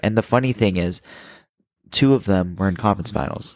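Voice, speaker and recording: Recorded very cleanly against a silent background, a man with an unremarkable speaking voice and a fairly low pitch talks at a moderate pace with ordinary pitch variation. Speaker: podcast co-host. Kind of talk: casual chat.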